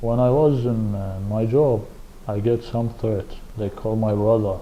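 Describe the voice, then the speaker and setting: A man's voice at a fairly slow pace, monotone and flat in intonation, with audible room echo. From Iraq. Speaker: refugee, former security guard. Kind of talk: testimony. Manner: halting.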